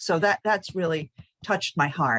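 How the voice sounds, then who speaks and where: A woman's fairly low voice with ordinary pitch variation, in a very clean recording with a silent background and a dry, close sound free of echo. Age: 60s. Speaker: class participant. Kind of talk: casual chat. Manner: halting.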